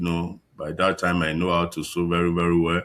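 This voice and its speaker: A man with a Nigerian accent speaks at a very deep, low pitch in a very clean recording with a silent background. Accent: Nigerian (Yoruba) English. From Nigeria, Ekiti State (southwest). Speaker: fashion designer. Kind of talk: interview. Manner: halting.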